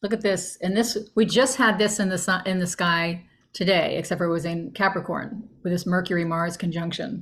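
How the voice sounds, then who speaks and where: In an American accent, a woman speaks at a moderate pace with hardly any pauses, medium pitch, fairly even intonation and a somewhat breathy quality, on a very clean recording with a silent background. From US Mid-Atlantic (Northern Virginia). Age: 60s. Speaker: astrologer. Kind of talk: casual explanatory talk over screen share. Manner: halting, many fillers.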